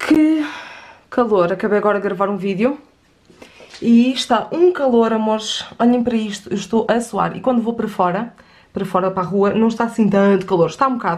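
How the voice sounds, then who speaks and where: A woman speaks at a very fast pace with a fairly high pitch and ordinary pitch variation. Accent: European Portuguese. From Portugal. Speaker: lifestyle vlogger. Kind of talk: casual vlog chat to camera. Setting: at home, kitchen. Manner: chatty, informal. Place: home room.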